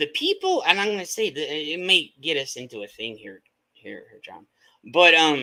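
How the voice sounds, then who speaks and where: A man's bright, sharp tone with very wide pitch swings. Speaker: livestream host. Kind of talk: casual chat. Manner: loud; animated.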